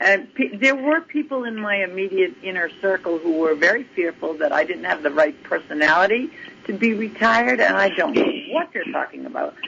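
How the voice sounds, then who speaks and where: Over noticeable background noise, a woman talks at a fairly high pitch with very wide pitch swings. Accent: American. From Massachusetts. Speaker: retired basketball coach. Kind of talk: interview.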